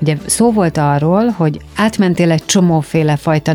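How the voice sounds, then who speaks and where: Against noticeable background noise, a woman with a very deep, low pitch talks at a fairly slow pace. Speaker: radio host. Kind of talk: interview. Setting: studio.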